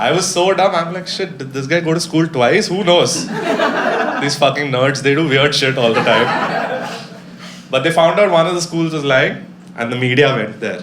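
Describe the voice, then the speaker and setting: Against noticeable background noise, a man talks at a moderate pace. His pitch is fairly high, with ordinary variation. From India. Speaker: stand-up comedian. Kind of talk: live stand-up comedy set. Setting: live comedy venue with audience.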